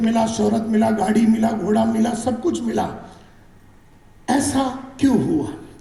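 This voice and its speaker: There is audible room echo around a man whose voice sits at an extremely high pitch. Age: 50s. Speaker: direct selling trainer. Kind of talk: motivational training talk. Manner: animated.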